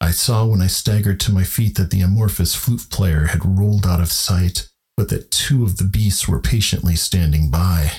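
A man's very deep, low, somewhat breathy voice at a moderate pace, with very even loudness, ordinary pitch variation and hardly any pauses. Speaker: podcast host and narrator. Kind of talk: literary horror audiobook narration.

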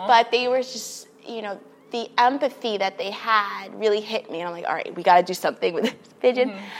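Talking at a fairly quick pace with an American accent, a woman has a fairly high pitch, ordinary pitch variation and big swings in loudness against noticeable background noise. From New York City, Queens. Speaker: children's librarian. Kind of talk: casual interview.

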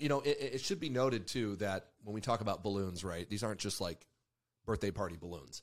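A man with an American accent and an ordinary speaking voice talks at a fairly quick pace, fairly low in pitch, with lively intonation. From Mexico and Ecuador (American missionary family). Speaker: podcast host, army veteran and former deputy. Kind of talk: casual political talk.

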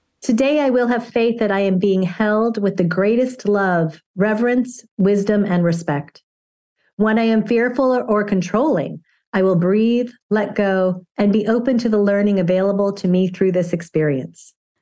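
A woman in a plain, everyday voice at a moderate pace and medium pitch, with ordinary pitch variation, very even loudness and a quiet background. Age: 50s. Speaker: acupuncturist and stand-up comedian. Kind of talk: casual interview. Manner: humorous, laughs often.

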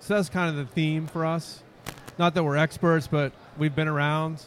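In a plain, everyday voice, a man with a fairly high pitch speaks at a moderate pace. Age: 50s. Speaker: youth pastor. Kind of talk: casual chat. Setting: convention with crowd nearby.

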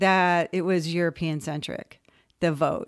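A woman with a Californian accent on a very clean recording with a silent background. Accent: Californian American. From Southern California, West Covina. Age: 60s. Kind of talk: interview.

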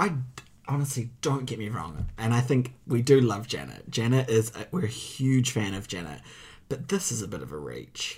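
With a New Zealand accent, a man of medium pitch speaks at a moderate pace with vocal fry, very wide pitch swings and big swings in loudness. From provincial New Zealand. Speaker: podcast co-host. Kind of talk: casual chat.

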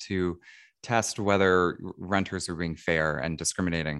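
A man with an American accent is heard on a very clean recording against a silent background. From New England, then Appalachian Virginia. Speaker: research linguist. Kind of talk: interview conversation.

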